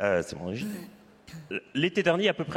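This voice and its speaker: This is a man speaking with a Belgian accent. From Belgium. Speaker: climate researcher, panelist. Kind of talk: panel discussion.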